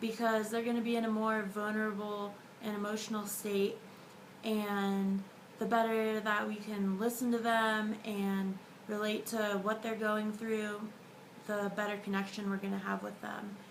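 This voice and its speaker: Through noticeable background noise and audible room echo, a woman speaks at a moderate pace in a fairly high, flat monotone. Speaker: dental student. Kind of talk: video diary.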